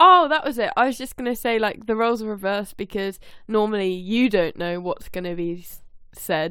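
A woman with an unremarkable speaking voice talks at a fairly quick pace and a fairly high pitch. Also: lively intonation. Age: 20s. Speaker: podcast co-host. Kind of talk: casual chat. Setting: remote call recording.

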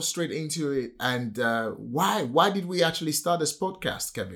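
With a Nigerian accent, a man speaks at a fairly slow pace with lively intonation. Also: very clean recording, silent background. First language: a Nigerian language. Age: 40s. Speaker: property entrepreneur and podcast host. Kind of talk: casual chat.

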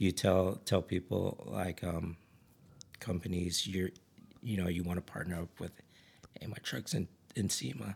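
A man with an American accent, very deep and low in pitch, with vocal fry, a moderate pace, ordinary pitch variation and long, frequent pauses. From Ridgecrest, California. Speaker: camping gear business owner and overlander. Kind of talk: casual chat.

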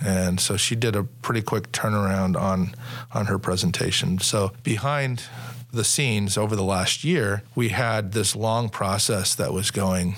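Over noticeable background noise, a man with an American accent speaks at a fairly slow pace, fairly low in pitch, with ordinary pitch variation and very even loudness. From Sacramento, California. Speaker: police officer and union president. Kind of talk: interview.

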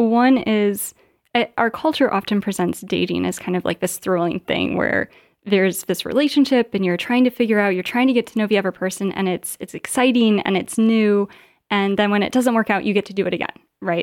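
A woman with a Midwestern American accent talks at a fairly quick pace, her pitch medium with ordinary variation. The recording is very clean and dry, close with no echo, over a silent background. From northern Indiana. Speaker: doctoral student. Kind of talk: interview conversation.

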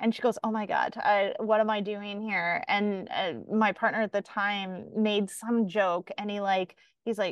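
With a normal speaking voice, this woman talks at a moderate pace in a fairly high pitch. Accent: Canadian. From Canada. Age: 40s. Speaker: podcast host, yoga and mindfulness enthusiast. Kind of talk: casual chat.

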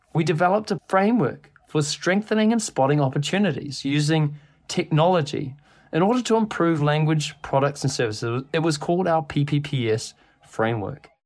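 The speaker has a New Zealand accent and a fairly quick pace. The recording is very clean, with a silent background. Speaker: podcast host and software company CEO. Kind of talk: scripted podcast introduction.

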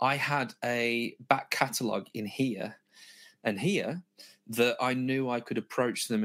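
A man speaks with a Birmingham accent at medium pitch, his intonation fairly even. The recording is very clean, with a silent background. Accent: Birmingham (Brummie) English. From Birmingham, England. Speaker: guitar gear product specialist. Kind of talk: gear demonstration.

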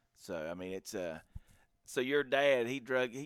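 A man's ordinary speaking voice with an American accent, at a medium pitch and a moderate pace. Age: 40s. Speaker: hunting podcast host. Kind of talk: casual chat.

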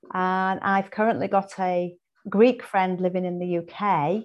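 Against a quiet background, a woman with an English accent speaks at a medium pitch and fairly slow pace, her intonation monotone and flat. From England. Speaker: holistic health coach and author. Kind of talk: interview.

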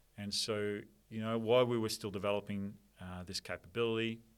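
Here a man with a fairly low voice speaks fairly quickly in an Australian accent. The recording is very clean, with a silent background. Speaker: software company director. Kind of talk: casual interview chat.

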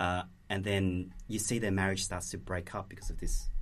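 A man speaks at a very deep, low pitch in a somewhat breathy voice. His pace is moderate and his intonation fairly even. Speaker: producer. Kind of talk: casual chat.

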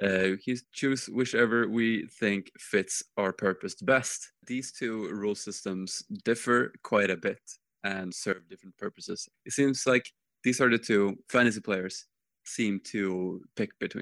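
Speaking fairly slowly in a normal speaking voice, a man uses a fairly low pitch with ordinary variation, in a very clean recording with a silent background and a dry, close sound with no echo. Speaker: podcast co-host. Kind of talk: casual hobby podcast chat.

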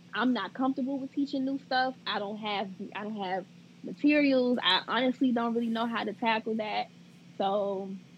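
A woman talks at a moderate pace, somewhat breathy, with a fairly high pitch. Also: ordinary pitch variation. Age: 20s. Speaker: second grade teacher. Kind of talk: casual interview chat.

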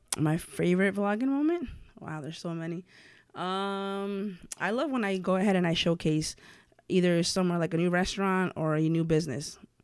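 Fairly quick speech in a New York accent, with ordinary pitch variation, on a very clean recording with a silent background. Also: woman, medium pitch for a woman. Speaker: blogger and content creator. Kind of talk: casual interview.

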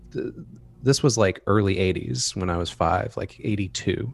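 A man with an unremarkable speaking voice talks at a fairly low pitch. His pace is moderate and his intonation lively. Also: very clean recording, silent background. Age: 40s. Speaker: horror anthology editor and writer. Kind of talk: casual interview.

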